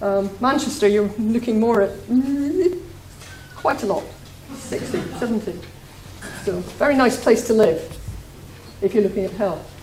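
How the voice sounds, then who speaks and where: Amid noticeable background noise and audible room echo, a woman with a Scottish accent speaks in a fairly high pitch, her intonation lively, with long, frequent pauses. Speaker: demography researcher. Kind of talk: lecture. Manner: hesitant, many fillers.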